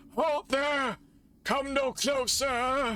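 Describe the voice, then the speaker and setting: Using a put-on character voice, a man projects loudly at an extremely high pitch. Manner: spooky.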